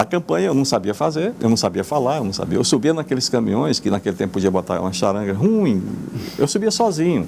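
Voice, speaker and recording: A man speaks at a very fast pace. His pitch sits in the medium range but swings very widely. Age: 70s. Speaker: politician, former mayor. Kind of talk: TV interview. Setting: TV studio. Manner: halting, repeats words.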